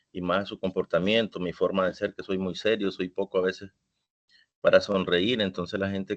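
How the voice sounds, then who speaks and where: A man talks at a fairly quick pace, his fairly low voice held in monotone, flat intonation. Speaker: teacher taking a course. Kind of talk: testimony. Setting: online class session. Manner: can sound angry or stern.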